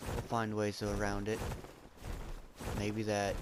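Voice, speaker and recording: A man speaks at a moderate pace in a fairly low, monotone voice with flat intonation, amid noticeable background noise and audible room echo. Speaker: gamer streaming gameplay. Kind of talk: gameplay commentary. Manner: loud.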